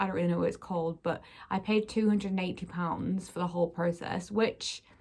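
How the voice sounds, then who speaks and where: A woman speaks with a British accent at a fairly quick pace. Her pitch varies in an ordinary way. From UK. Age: 20s. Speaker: YouTuber. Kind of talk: vlog. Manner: casual, many fillers.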